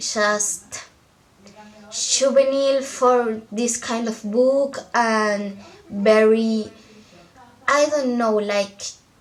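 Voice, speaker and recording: A woman with a non-native accent, fairly high in pitch, at a very slow pace with fairly even intonation and long, frequent pauses. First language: not English. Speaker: book vlogger. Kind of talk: casual vlog chat.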